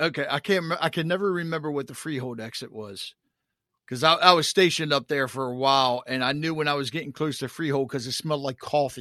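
A man with an American accent speaks at a very fast pace in a fairly high pitch. His tone is bright and sharp, and the background is quiet. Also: ordinary pitch variation. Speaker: podcast host. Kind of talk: casual interview.

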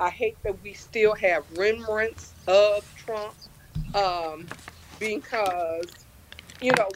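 Over noticeable background noise, a woman speaks at a very slow pace at a medium pitch. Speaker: caller. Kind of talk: casual chat. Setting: video call.

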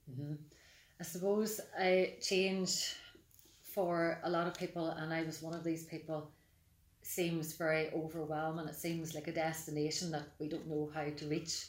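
In a Mid Ulster accent, the speech moves at a moderate pace with monotone, flat intonation and audible room echo. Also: woman, fairly low pitch for a woman. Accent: Mid Ulster Northern Irish. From Northern Ireland, County Tyrone. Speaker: life coach and therapist. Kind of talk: podcast interview.

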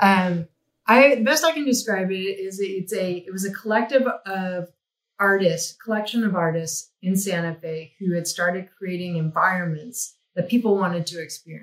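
A woman with an unremarkable speaking voice speaks at a moderate pace and medium pitch, with ordinary pitch variation and big swings in loudness. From New Mexico, US. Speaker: visual effects executive. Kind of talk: interview.

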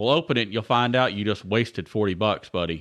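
Over a quiet background, a man with a Southern US accent talks very fast, the sound dry and close with no echo. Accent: Southern US (Georgia). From Georgia, US South. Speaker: podcast host. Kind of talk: casual chat. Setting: at co-host's home.

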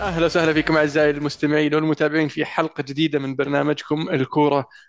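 The delivery moves at a fairly quick pace with monotone, flat intonation. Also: man. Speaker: football podcast host. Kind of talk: casual chat.

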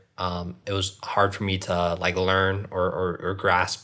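A man with an American accent speaks in a very deep, low, monotone voice with flat intonation, recorded very cleanly over a silent background. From US, Northern Virginia. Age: 30s. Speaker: content creator and filmmaker. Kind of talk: casual interview chat.

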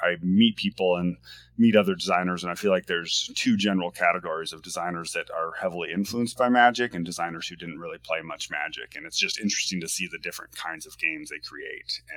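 This man has an American accent and talks at a very fast pace with hardly any pauses. His loudness swings widely. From US Pacific Northwest, Washington State. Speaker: board game designer. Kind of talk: casual interview.

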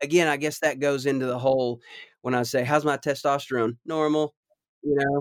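A fairly high male voice with a Southern US accent, fairly quick, in monotone, flat intonation. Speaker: husband of host, guest. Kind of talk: casual chat. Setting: video call.

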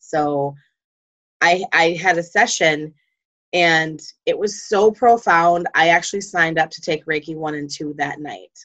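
This woman has an ordinary speaking voice, fairly low in pitch with ordinary pitch variation, speaking at a fairly slow pace with big swings in loudness. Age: 40s. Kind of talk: casual interview chat.

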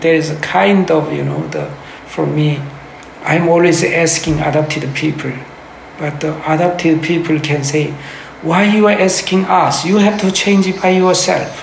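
The speech has a strong Korean accent, moderate pace and ordinary pitch variation. Noticeable background noise sits behind it. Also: man, fairly high pitch for a man. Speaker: pastor and activist. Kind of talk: interview conversation. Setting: in person, basement room with ambient noise. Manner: halting, searching for words.

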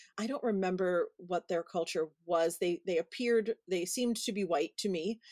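A woman's medium-pitched voice with an American accent and ordinary pitch variation, dry and close with no echo. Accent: Brooklyn accent deliberately dropped. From Brooklyn, New York City. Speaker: podcast host and event planner. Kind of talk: casual interview chat.

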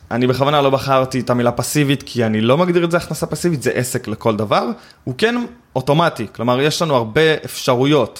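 Here is a man with a plain, everyday voice. His pitch is medium with ordinary variation, and he moves at a fairly quick pace. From Israel, West Bank settlement. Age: 20s. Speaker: affiliate marketing expert. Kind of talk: interview conversation. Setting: in-person recording in Tel Aviv.

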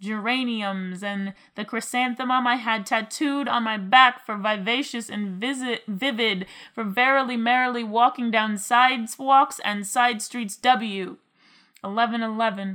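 The woman has a normal speaking voice, fairly high in pitch, with fairly even intonation. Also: fairly slow pace. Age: 20s. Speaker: spoken word poet. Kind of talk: spoken word poetry.

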